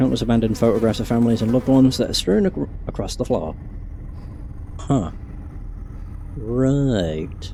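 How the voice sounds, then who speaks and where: A man at a medium pitch with lively intonation, a moderate pace and long, frequent pauses, over noticeable background noise. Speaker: gaming streamer. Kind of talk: reading aloud.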